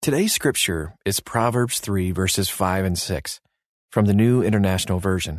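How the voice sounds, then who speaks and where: Against a quiet background, a man with an ordinary speaking voice talks at a moderate pace and fairly low pitch, with ordinary pitch variation and very even loudness. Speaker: devotional narrator. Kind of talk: devotional narration. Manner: calm, warm, gently paced; reverent, soothing, measured.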